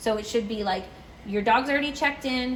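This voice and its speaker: A woman speaks at a fairly quick pace with a fairly high pitch and ordinary pitch variation. Noticeable background noise runs under her voice. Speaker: dog daycare staff trainer. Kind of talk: tutorial. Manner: casual with fillers.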